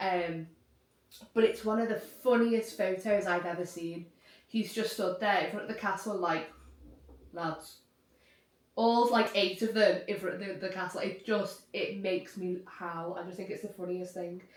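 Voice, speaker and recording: In a Liverpool accent, a woman speaks at a moderate pace and medium pitch with fairly even intonation, and audible room echo is present. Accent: Scouse. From Liverpool region, England. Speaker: YouTuber. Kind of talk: casual chat.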